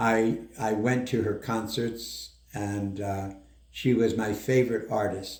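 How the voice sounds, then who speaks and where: The speech moves at a fairly slow pace with fairly even intonation. Audible room echo surrounds it. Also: man. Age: 80s+. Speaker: doctor. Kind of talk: interview.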